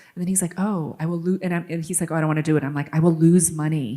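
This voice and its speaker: Speaking very fast, a woman with an American accent has a fairly low pitch. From New York City. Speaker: author. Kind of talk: interview. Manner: shaky.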